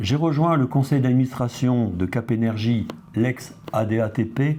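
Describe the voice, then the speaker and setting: With a dark, mellow tone, a man talks at a medium pitch with ordinary pitch variation. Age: 70s. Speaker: retired industry executive, association vice-president. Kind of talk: testimony. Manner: formal.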